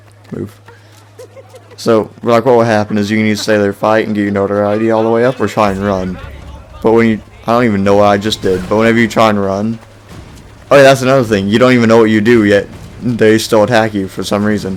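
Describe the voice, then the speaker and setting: A man with a fairly low voice speaks very fast in a monotone, flat intonation, with long, frequent pauses and noticeable background noise. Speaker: video game reviewer. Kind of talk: gameplay commentary. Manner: casual, rambling.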